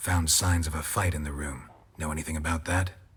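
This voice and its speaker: At a fairly quick pace, the speaker performs a put-on character voice. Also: man, very deep, low pitch for a man. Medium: video game. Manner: terse, deadpan.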